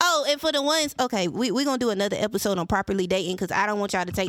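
A woman with a Southern US accent talks at a very fast pace with ordinary pitch variation. The recording is very clean, with a silent background. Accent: Southern US, country. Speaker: podcast host. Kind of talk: solo podcast monologue. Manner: casual, candid, emotional.

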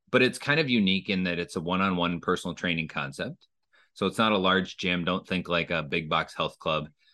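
A man with an American accent talks at a fairly quick pace in a very deep, low voice with a bright, sharp tone and ordinary pitch variation against a quiet background. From Minnesota. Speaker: franchise development executive. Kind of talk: casual interview.

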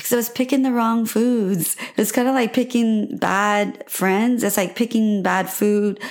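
Against noticeable background noise, a woman with a fairly high pitch speaks in a warm tone at a fairly slow pace, her loudness very even and her intonation fairly even. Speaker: podcast host. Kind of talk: solo podcast monologue, personal story. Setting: home recording with microphone. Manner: warm, encouraging, conversational.

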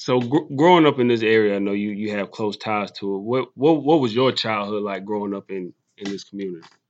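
At a fairly quick pace, a man talks in a normal speaking voice with fairly low pitch and ordinary pitch variation. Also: hardly any pauses. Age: 20s. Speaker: podcast host. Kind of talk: casual interview. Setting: in person.

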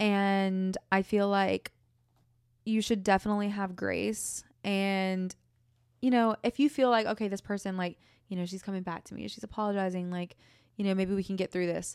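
Recorded very cleanly against a silent background, a woman with a medium pitch speaks at a moderate pace. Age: 20s. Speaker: podcast host. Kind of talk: casual chat. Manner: animated.

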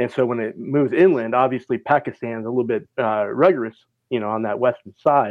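This man speaks with an American accent in a normal speaking voice. His pitch is medium with ordinary variation, and his pace is fairly quick. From Minnesota, US Midwest. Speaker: weather forecaster. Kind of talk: casual chat.

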